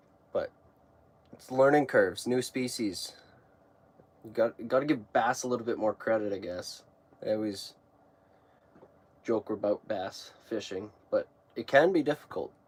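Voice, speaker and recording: A man with an Alberta accent talks at a moderate pace, his pitch varying in an ordinary way while his loudness swings widely and long pauses come often. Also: medium pitch for a man. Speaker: fishing YouTuber. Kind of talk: casual live stream chat. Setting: ice fishing shack.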